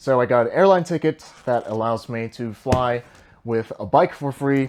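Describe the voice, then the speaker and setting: This man talks at a moderate pace with medium pitch and ordinary pitch variation. He has an ordinary speaking voice. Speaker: travel cycling vlogger. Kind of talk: tutorial.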